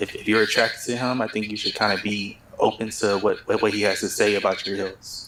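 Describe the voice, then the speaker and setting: Soft-spoken, a man talks at a fairly quick pace and fairly low pitch. His intonation is monotone and flat. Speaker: dating show contestant. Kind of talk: reunion panel discussion. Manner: halting.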